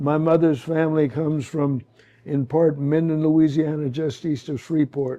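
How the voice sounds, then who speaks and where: At a moderate pace, a man speaks in a fairly high, dark and mellow voice with monotone, flat intonation. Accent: American. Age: 80s+. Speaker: sculptor. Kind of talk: panel Q&A.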